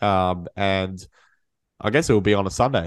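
A man speaks at a fairly low pitch and a moderate pace. His tone is clear, smooth and nasal.

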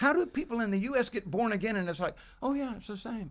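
A man speaks at a fairly quick pace. His pitch is extremely high. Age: 70s. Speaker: bible teacher. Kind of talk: casual chat.

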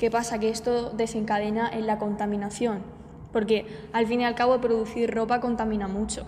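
Over noticeable background noise, a woman speaks in a monotone, flat intonation at a fairly high pitch and a moderate pace. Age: 20s. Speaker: marketing student, podcast co-host. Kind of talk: casual chat.

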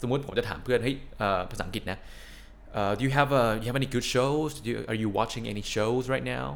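A man's medium-pitched voice with ordinary pitch variation, a normal speaking voice. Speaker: podcast co-host. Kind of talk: casual chat.

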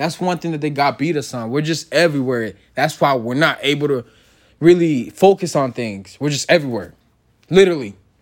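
On a very clean recording with a silent background, a man with an unremarkable speaking voice talks at a fairly quick pace, his fairly high pitch showing ordinary variation. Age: young. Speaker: podcast host. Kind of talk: casual solo talk.

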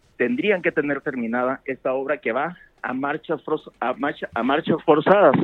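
A man talks at a moderate pace with an unremarkable speaking voice. His pitch is fairly high and his intonation lively. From Sonora, Mexico. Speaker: news reporter. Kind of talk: phone interview. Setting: phone call.

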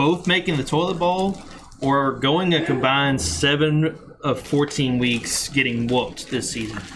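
A man's fairly high voice with ordinary pitch variation, fairly slow pace and noticeable background noise. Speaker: fantasy football podcast host. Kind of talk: casual chat. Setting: garage, live recording.

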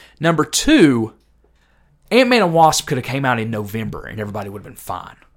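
Very fast speech from a man with fairly high pitch. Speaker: podcast host. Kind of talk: casual chat.

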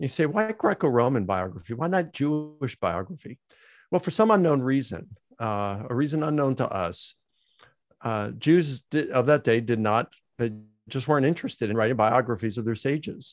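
A man speaks at a moderate pace with an American accent, his pitch medium and swinging very widely. The recording is very clean and dry, close with no echo and a silent background. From Baltimore, Maryland, US. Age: 60s. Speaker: theology professor. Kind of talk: interview about biblical scholarship.

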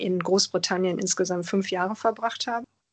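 The sound is dry and close with no echo. A woman speaks with ordinary pitch variation. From Germany. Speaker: interviewee, lawyer. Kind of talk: interview.

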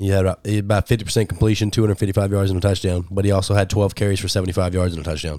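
With a Southern US accent, this man talks at a very fast pace in a fairly low pitch, his intonation monotone and flat, with hardly any pauses, on a very clean recording with a silent background. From Arkansas. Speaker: sports podcast host. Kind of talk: casual sports chat.

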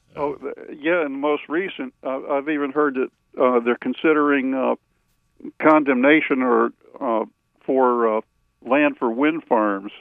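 Speaking in a Southern US accent, a man with a fairly high pitch talks at a fairly slow pace with fairly even intonation and long, frequent pauses. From North Carolina. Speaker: caller. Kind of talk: radio call-in. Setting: phone call. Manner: halting.

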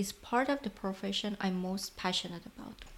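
A woman with an Iranian accent speaks at a moderate pace. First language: Persian. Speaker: podcast host, lighting designer. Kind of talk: scripted narration.

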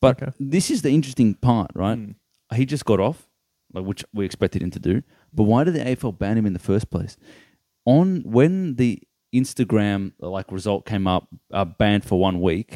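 With an Australian accent, a man talks at a moderate pace in a fairly low, dark and mellow voice, his intonation lively and the sound dry and close with no echo. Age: 20s. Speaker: sports podcast co-host. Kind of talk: casual chat.

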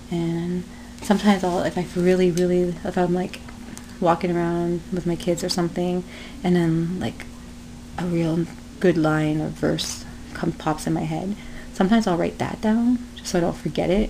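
Noticeable background noise sits behind a woman speaking at fairly low pitch. She keeps a moderate pace with long, frequent pauses. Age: 30s. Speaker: podcaster and aspiring stand-up comedian. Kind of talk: casual solo podcast monologue, self-deprecating humor. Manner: rambling, easily distracted, jokey, with many fillers; self-deprecating, animated.

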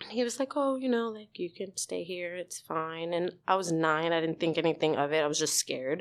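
At a moderate pace, a woman with a New York accent speaks with a very deep, low pitch and lively intonation over a quiet background. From New York, the Bronx. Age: 30s. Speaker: actor and writer. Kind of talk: casual chat; testimony.

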